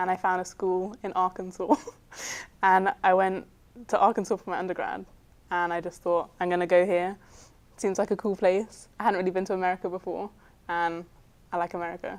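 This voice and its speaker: Her intonation is monotone and flat, at a medium pitch for a woman, and the recording is very clean with a silent background. She talks at a fairly quick pace but leaves long, frequent pauses. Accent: southern English. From southern England, Guildford. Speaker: film student and cinematographer. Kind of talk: interview answers. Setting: studio.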